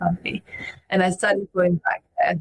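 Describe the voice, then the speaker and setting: Someone talks at a very fast pace with a French accent. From France. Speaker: podcast guest. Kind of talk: interview conversation.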